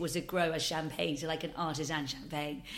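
In a room with audible echo, a woman speaks very fast in a fairly low pitch with fairly even intonation. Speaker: drinks company founder. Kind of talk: interview.

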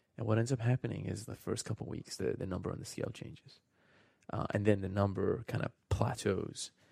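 His voice is fairly low in pitch, with a dark, mellow tone, vocal fry and ordinary pitch variation. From New Zealand (born in Iran). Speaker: startup founder and CEO. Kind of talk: radio interview. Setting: studio.

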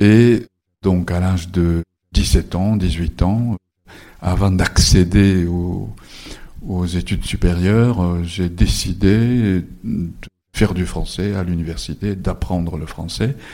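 With long, frequent pauses and a very slow pace, a man speaks in a very deep, low pitch with a dark, mellow tone and fairly even intonation. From Japan. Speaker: novelist. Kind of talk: bookshop author talk. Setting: bookshop event with audience.

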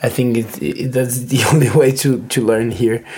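This voice has a Spanish accent. Noticeable background noise runs under it. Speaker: podcast guest. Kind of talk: casual chat. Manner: halting.

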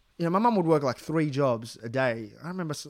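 With an Australian accent, a man speaks at a fairly quick pace and fairly high pitch, his pitch swinging very widely, in a very clean recording with a silent background. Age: 30s. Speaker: comedian. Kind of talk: casual chat.

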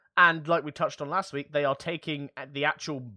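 A man with an English accent has a bright, sharp tone. The sound is dry and close with no echo, over a quiet background. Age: 20s. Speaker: tech podcast co-host. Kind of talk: casual chat.

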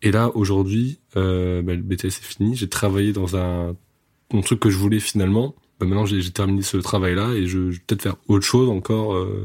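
A man speaks with fairly low pitch. The recording is very clean, with a silent background. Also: fairly even intonation, moderate pace. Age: 20s. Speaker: music photographer. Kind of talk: casual interview chat. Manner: hesitant, repeats words.

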